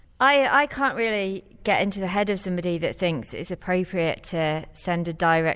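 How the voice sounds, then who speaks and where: A woman's medium-pitched voice with ordinary pitch variation at a moderate pace, a plain, everyday voice. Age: 40s. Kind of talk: panel discussion.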